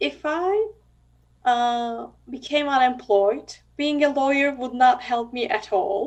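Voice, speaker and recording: Speaking with a Turkish accent, a woman talks at a very slow pace. Her pitch is high, with ordinary variation. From Turkey. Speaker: blind psychologist and university professor. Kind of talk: interview. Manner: hesitant, with frequent fillers.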